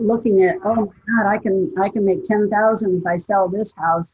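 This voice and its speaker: This woman talks at a fairly slow pace with fairly even intonation. Her voice is somewhat breathy. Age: 70s. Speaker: real estate agent. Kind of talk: interview answer.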